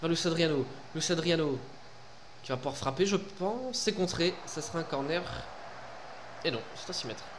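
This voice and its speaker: Over noticeable background noise, a man with high pitch speaks at a moderate pace with lively intonation and long, frequent pauses. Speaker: gaming YouTuber. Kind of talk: casual gameplay commentary. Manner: animated, informal. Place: home room.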